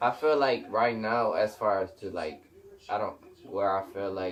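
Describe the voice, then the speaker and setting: This man speaks with a Puerto Rican accent. His pitch varies in an ordinary way. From Puerto Rico (San Juan). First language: Spanish. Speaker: musician and clothing brand owner. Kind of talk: casual interview chat.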